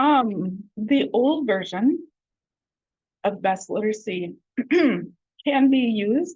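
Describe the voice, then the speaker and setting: A woman's fairly high, somewhat breathy voice moves through very wide pitch swings. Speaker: adult education trainer. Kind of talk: training presentation.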